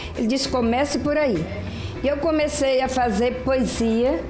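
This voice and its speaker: A woman speaks at a high pitch and a fairly slow pace with lively intonation, amid audible room echo and clear music in the background. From Brazil, Fortaleza. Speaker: amateur poet / poetry reciter. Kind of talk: casual interview answer. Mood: warm, reminiscing. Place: home room. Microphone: handheld.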